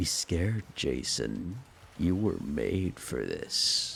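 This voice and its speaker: Clear background noise sits behind a put-on character voice delivered very slowly. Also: man. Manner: calm, reassuring yet ominous.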